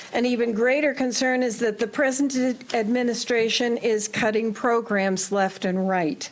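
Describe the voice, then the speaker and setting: Over noticeable background noise, a woman talks at a fairly high pitch. Her intonation stays fairly even. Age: 70s. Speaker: retired teacher speaking at public hearing. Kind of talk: public comment, reading a prepared statement. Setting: town council public hearing.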